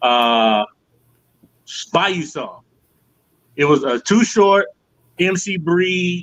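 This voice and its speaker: A man speaks at a very slow pace with a high pitch and very wide pitch swings. Long, frequent pauses break up his speech. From Atlanta area, Georgia. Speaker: rapper. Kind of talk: casual chat.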